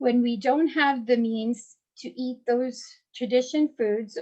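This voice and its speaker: A high-pitched woman, her pitch variation ordinary, talks at a fairly slow pace. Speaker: community outreach coordinator. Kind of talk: prepared introduction speech. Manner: halting, with restarts.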